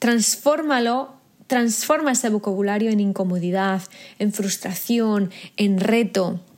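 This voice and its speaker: A woman speaks in an intense tone at a fairly high pitch. Her pitch varies in an ordinary way. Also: fairly slow pace. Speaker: podcast host and business coach. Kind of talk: motivational monologue.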